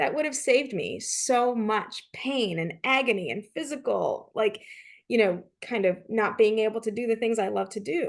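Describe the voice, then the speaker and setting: Over a quiet background, the voice has vocal fry, ordinary pitch variation and a moderate pace. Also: woman. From Canada. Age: 40s. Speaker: leadership consultant and author. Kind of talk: interview.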